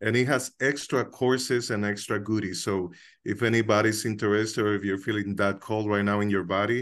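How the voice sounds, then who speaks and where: Against a quiet background, a man with a Dominican accent speaks at a fairly low pitch, with fairly even intonation and very even loudness. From Dominican Republic, Santiago. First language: Spanish. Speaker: co-host of a coincidence discussion group. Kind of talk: casual sharing in an online group session. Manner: hesitant, with many filler words.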